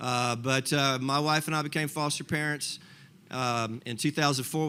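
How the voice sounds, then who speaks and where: Bright and sharp in tone, a man's fairly high voice moves at a moderate pace with fairly even intonation, captured in a very clean recording with a silent background. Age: 60s. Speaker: foster parent. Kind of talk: testimony. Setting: breakfast gathering with audience.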